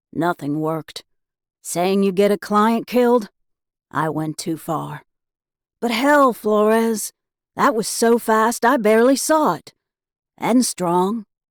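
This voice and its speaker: A female-sounding voice uses a put-on character voice, drawling at a fairly slow pace. The pitch is fairly high, and long pauses come often. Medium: read story. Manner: drawling, blunt.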